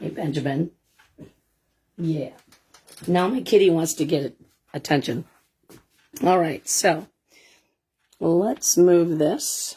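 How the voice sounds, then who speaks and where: Loud and very slow, a woman with a fairly low pitch and a dark, mellow tone speaks with ordinary pitch variation and long, frequent pauses. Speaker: craft product demonstrator. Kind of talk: live stream tutorial.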